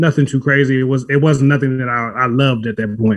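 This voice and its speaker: A man's fairly quick speech at a fairly high pitch with ordinary pitch variation, music in the background. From South Central Los Angeles, US. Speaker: run club founder, community leader. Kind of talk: casual interview. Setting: studio.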